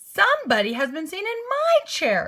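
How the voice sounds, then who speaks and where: In a put-on character voice, a woman sounds squeaky and raspy at an extremely high pitch, talking at a moderate pace. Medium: read story. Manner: prim, genteel.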